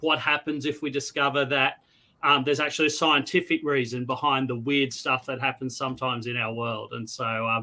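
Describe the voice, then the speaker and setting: A man's bright, sharp voice, fairly high in pitch, with an Australian accent, on a very clean recording with a silent background. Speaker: novelist. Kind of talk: casual chat.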